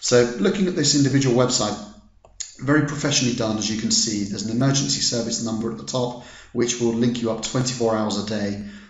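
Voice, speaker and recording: With an English accent, a man talks at a very fast pace and a medium pitch with ordinary pitch variation, amid noticeable background noise and audible room echo. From England. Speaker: product reviewer. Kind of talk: business review. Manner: hesitant, many fillers.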